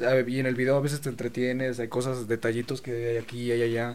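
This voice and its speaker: A man talks over noticeable background noise. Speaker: photographer and video maker. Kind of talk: casual chat.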